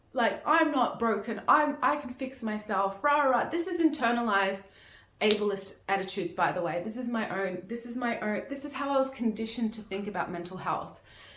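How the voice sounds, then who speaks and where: This woman has a fairly high pitch and lively intonation at a fairly quick pace. Audible room echo surrounds her voice. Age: 30s. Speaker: managing director of a peer education channel. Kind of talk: personal testimony. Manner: halting, with frequent restarts.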